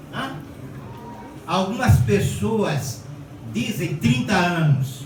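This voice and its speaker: A man with a fairly high pitch speaks at a very slow pace, his voice making very wide pitch swings. Noticeable background noise and audible room echo fill the recording. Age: 80s+. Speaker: pastor. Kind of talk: sermon. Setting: church.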